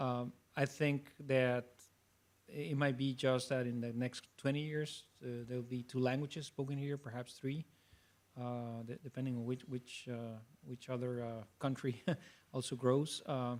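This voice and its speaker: A man with a Spanish accent and a medium pitch talks at a fairly slow pace with fairly even intonation. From Mexico. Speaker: STEM professional panelist. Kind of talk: panel discussion.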